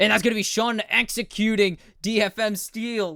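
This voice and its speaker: A man speaks loudly at a high pitch with a bright, sharp tone. The sound is dry and close, with no echo. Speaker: esports caster. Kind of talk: live commentary. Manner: animated.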